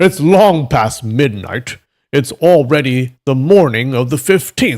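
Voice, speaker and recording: Putting on a character voice at medium pitch, a man speaks fairly slowly with lively intonation. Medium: read story. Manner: sly, scheming.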